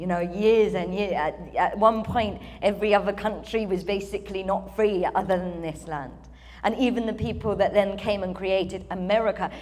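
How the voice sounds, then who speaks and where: Over noticeable background noise and audible room echo, a woman with a British accent speaks at medium pitch and a moderate pace with fairly even intonation. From UK. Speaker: spiritual channeler, event speaker. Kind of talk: ceremony speech, channeled address. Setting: stage with audience.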